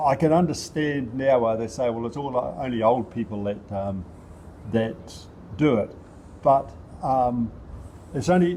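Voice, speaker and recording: Pausing long and often, a man speaks at a fairly slow pace in a dark, mellow voice of medium pitch with ordinary pitch variation. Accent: New Zealand. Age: 70s. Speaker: local councillor and former rugby player. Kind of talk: casual interview. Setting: outdoors at a sports park. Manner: halting, many fillers.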